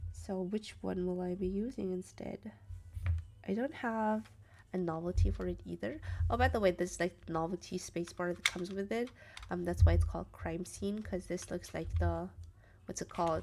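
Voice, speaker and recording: A woman with a non-native accent speaks at a moderate pace, her loudness swinging widely. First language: not English. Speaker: keyboard streamer. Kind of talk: live stream, casual chat. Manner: casual, hesitant with fillers.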